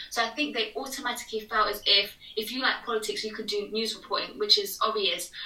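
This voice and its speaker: A woman with a British accent talks very fast in a fairly high pitch, her intonation fairly even, over noticeable background noise. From England. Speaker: TV presenter. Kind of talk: casual interview chat.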